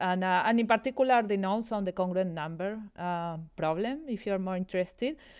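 A woman talks with a Spanish accent against a quiet background. Her pace is fairly quick and her intonation lively. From Argentina, Buenos Aires. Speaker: mathematics professor. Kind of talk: interview explaining mathematics. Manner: hesitant, many fillers.

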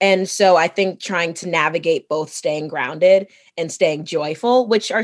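A woman speaks in a plain, everyday voice at a fairly low pitch. Her pace is fairly slow, with ordinary pitch variation. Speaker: Broadway actress. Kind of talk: casual chat.

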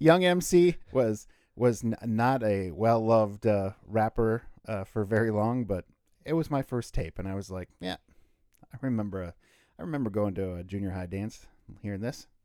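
A man's fairly low voice with a dark, mellow tone at a moderate pace. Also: lively intonation. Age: 40s. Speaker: podcast co-host. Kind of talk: casual chat.

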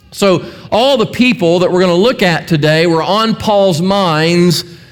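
A high-pitched man's voice with audible room echo. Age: 60s. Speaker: pastor. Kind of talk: sermon.

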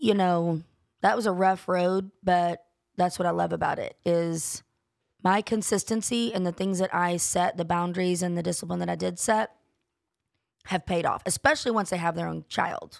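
A woman with a Southern US accent and fairly low pitch at a moderate pace, on a very clean recording with a silent background. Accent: US South. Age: 40s. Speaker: podcast co-host. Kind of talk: casual chat. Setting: studio. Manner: animated.

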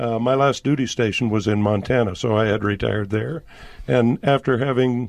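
Speaking at a moderate pace, a man has a plain, everyday voice with a medium pitch and ordinary pitch variation. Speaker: guest, husband. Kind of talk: radio interview.

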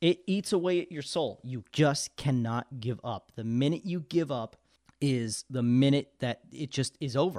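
A man with an American accent speaks in a plain, everyday voice at a medium pitch with lively intonation. The sound is dry and close with no echo. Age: 20s. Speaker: radio DJ. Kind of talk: casual chat.

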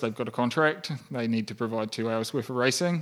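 Speaking at a moderate pace with ordinary pitch variation, a man talks in a New Zealand accent. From rural New Zealand. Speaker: podcast guest, entrepreneur. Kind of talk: casual chat.

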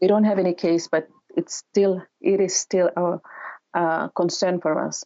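Her pitch fairly low, a woman speaks in a monotone, flat way at a fairly slow pace. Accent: Ni-Vanuatu. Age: young. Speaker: community development manager. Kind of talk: interview. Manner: halting.

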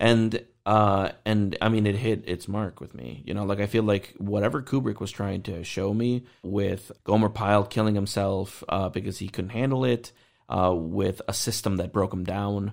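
A man with an American accent and an unremarkable speaking voice talks at a moderate pace, with a fairly low pitch and fairly even intonation. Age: 30s. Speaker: movie podcast host. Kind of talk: casual chat.

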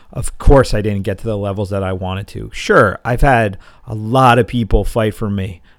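This man has a normal speaking voice with a fairly low pitch and fairly even intonation. His loudness swings widely as he goes at a moderate pace. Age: 40s. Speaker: martial arts coach and gym owner. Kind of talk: solo monologue podcast.

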